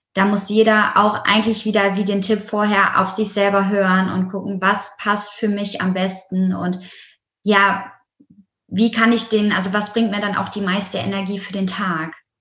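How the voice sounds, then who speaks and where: Amid audible room echo, a woman speaks at a moderate pace and medium pitch with monotone, flat intonation. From Germany, Essen (Ruhr area). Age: 20s. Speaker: yoga teacher. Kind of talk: interview.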